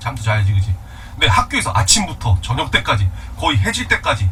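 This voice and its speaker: Against noticeable background noise, a man talks at a fairly quick pace in an animated tone. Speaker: Korean literature teacher. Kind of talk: lecture. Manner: fast.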